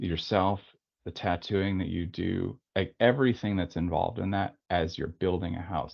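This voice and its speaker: At a moderate pace, a man speaks with fairly low pitch. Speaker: tattoo artist and studio owner. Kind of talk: webinar interview. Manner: rambling with false starts.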